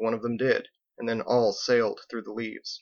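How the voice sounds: Quiet surroundings behind a natural voice reading aloud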